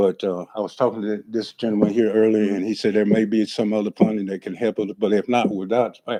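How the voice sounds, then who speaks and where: Speaking fairly quickly with a Southern US accent, a man delivers a dark, mellow tone in monotone, flat intonation, the sound dry and close with no echo. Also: fairly low pitch for a man. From Florida. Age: 60s. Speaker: property owner at code hearing. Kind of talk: testimony. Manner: halting.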